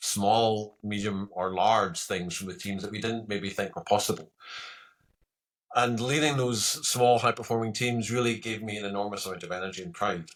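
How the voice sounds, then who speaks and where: In a Scottish accent, a man speaks at a fairly low pitch and a moderate pace with ordinary pitch variation, on a very clean recording with a silent background. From Scotland. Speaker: retired military pilot turned coach. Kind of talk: podcast interview.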